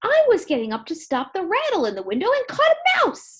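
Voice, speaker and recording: In a put-on character voice, a woman squeaks at an extremely high pitch with very wide pitch swings and a fairly quick pace. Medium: read story. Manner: bright, gushing.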